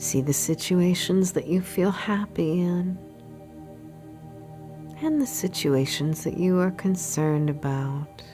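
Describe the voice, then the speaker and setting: Over music in the background, the speaker has a calm, soothing tone and a very slow pace with long, frequent pauses. Pitch variation is ordinary and loudness stays very even. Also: woman, very deep, low pitch for a woman. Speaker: meditation guide. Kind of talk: guided meditation. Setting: studio recording with background music. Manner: slow, calm, soothing.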